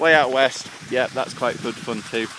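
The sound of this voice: A man with a fairly bright tone talks at a fairly quick pace over faint background noise.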